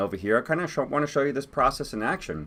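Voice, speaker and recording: This man talks at a very fast pace with lively intonation. His voice has vocal fry. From Cuba. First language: Spanish. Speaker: startup co-founder. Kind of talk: webinar presentation. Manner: hesitant, with fillers and repetitions.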